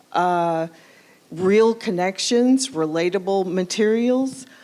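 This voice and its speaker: This voice carries a Southern US accent. It moves at a fairly slow pace. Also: woman. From US Southwest, New Mexico. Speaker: streaming TV channel owner. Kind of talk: welcome remarks.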